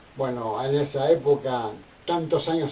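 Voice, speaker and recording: Fairly slow, fairly high speech from a man, ordinary pitch variation, noticeable background noise. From Argentina, Buenos Aires (Barracas). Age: 60s. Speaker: theologian and ministry leader. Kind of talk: personal testimony.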